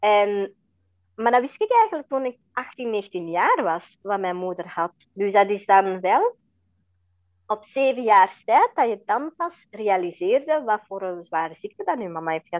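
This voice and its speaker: Speaking in a plain, everyday voice, a woman uses lively intonation at a medium pitch and a fairly slow pace. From Belgium (Flanders), adopted from India at age four. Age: 40s. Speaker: interview guest, adoptee and mother. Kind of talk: personal testimony in interview. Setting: podcast interview.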